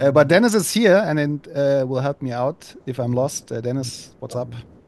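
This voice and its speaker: A man speaks at a moderate pace with a German accent. His pitch is fairly high, with ordinary variation. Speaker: podcast host. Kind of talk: podcast interview. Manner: halting, hesitant.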